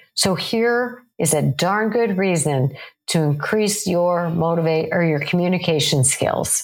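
A woman's fairly low voice, lively in intonation, at a fairly slow pace and very even loudness. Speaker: psychologist podcast host. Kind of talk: solo podcast talk. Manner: intense, passionate.

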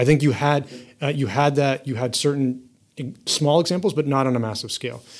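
In a plain, everyday voice, a man with an American accent talks at a fairly high pitch and fairly quick pace with ordinary pitch variation. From US. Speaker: venture capital investor. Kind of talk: interview.

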